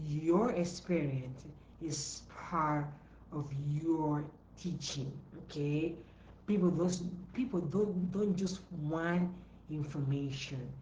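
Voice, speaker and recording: A woman with a non-native accent speaks very slowly in a very deep, low voice with ordinary pitch variation, leaving long, frequent pauses amid audible room echo. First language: not English. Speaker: entrepreneur coach. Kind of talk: live stream talk. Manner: repetitive, emphatic.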